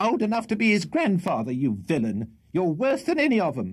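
A put-on character voice from a man, shrill and high-pitched, with very wide pitch swings and a fairly quick pace. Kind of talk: comic character reading. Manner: scolding, fast.

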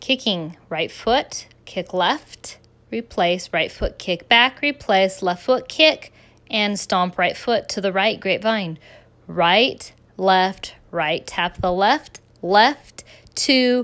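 The delivery is very slow, carried by lively intonation. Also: woman. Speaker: dance instructor. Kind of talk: dance counting and step calling. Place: garden.

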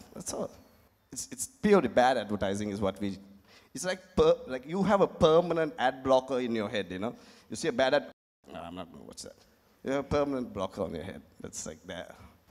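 A man's medium-pitched voice with vocal fry, fairly quick, with very wide pitch swings and big swings in loudness over a quiet background. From Sri Lanka. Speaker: advertising executive; panelist. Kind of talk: panel discussion. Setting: stage with audience. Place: stage. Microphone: handheld.

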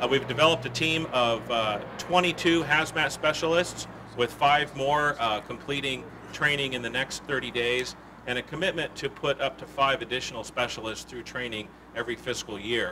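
A man at a moderate pace, ordinary pitch variation, noticeable background noise behind him. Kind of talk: press conference statement. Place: street. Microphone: podium.

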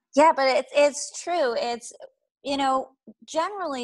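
A woman with an American accent, lively intonation and a moderate pace, over a quiet background in a dry sound with no echo. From Boston. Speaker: life coach. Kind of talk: webinar presentation. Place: home room. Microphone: earbuds.

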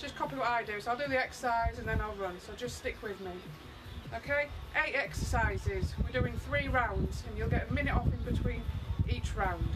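Someone talks at a fairly quick pace with music playing in the background. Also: woman. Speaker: fitness instructor. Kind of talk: live workout instructions. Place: garden. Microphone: camera far.

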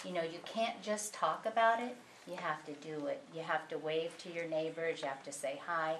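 In a plain, everyday voice with an American accent, a woman talks at a fairly low pitch with ordinary pitch variation. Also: moderate pace. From Southern California. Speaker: audience member. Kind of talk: audience comment.

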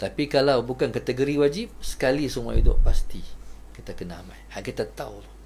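A man at a fairly quick pace, with big swings in loudness. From Malaysia. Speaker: religious teacher. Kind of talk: religious lecture. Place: home room.

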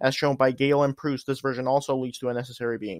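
Over a quiet background, a man speaks very fast with fairly even intonation, the sound dry and close with no echo. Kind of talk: reading from an article. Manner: monotone.

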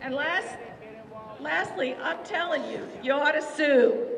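A woman's lively intonation at a fairly slow pace, with noticeable background noise. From West Virginia. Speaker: state legislator. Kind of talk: rally speech to a crowd. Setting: outdoor rally, crowd. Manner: earnest, rousing; warm, emotional. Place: street.

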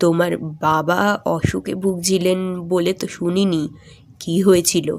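The voice is a shaky, put-on character voice at a middle pitch. It moves at a fairly slow pace. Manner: very soft, hesitant.

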